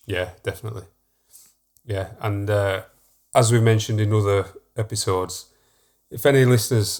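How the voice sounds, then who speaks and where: A man in a Yorkshire accent, fairly low-pitched and somewhat breathy, at a moderate pace with fairly even intonation. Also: very clean recording, silent background. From Yorkshire, northern England. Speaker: podcast co-host, professional artist. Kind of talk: casual chat.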